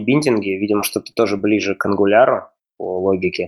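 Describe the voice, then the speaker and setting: A man speaks at a fairly quick pace and medium pitch. He has a plain, everyday voice with ordinary pitch variation. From Russia. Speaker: software developer. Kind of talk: casual chat.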